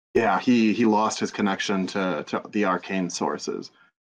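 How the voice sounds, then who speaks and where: Over a quiet background, a man with a normal speaking voice talks at a moderate pace. His pitch is fairly low and his intonation fairly even. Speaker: podcast producer and game master. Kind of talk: casual chat.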